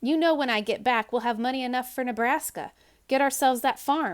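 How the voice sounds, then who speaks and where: A woman does a put-on character voice, high-pitched and raised to project. Her pace is fairly quick. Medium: read story. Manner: calm, reassuring.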